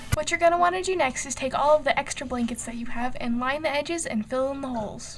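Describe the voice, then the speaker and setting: Talking at a very fast pace with hardly any pauses, a woman with a high pitch and ordinary pitch variation comes through over noticeable background noise. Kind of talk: casual how-to tutorial talk to camera. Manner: playful, offhand.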